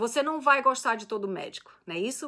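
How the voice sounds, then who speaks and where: Her pitch high and swinging very widely, a woman talks at a fairly quick pace in a bright, sharp tone. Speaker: immigration lawyer. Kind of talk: live stream Q&A. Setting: Facebook live stream. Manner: fast.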